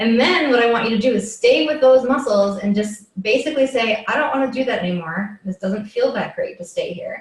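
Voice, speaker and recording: Noticeable background noise accompanies a woman with a fairly high pitch who talks at a fairly quick pace with hardly any pauses. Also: ordinary pitch variation. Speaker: yoga and movement teacher. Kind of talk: live instructional workshop. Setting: live video session. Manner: casual, filler-heavy.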